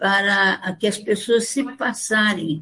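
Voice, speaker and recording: Pitch shifts in an ordinary way here. There is a somewhat breathy quality to the voice. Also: woman. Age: 80s+. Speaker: folklorist. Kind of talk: interview testimony. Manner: halting.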